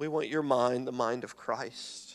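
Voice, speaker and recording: A man speaks fairly slowly in an ordinary speaking voice with ordinary pitch variation. The recording is very clean with a silent background. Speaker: church prayer leader. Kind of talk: fervent congregational prayer. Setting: church. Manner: earnest, heartfelt, pausing and repeating phrases.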